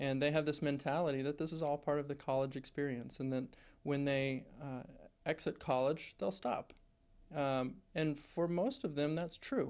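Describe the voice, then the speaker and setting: A man talks with fairly even intonation at a moderate pace, the background quiet. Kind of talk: interview answer. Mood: calm, explanatory. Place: office.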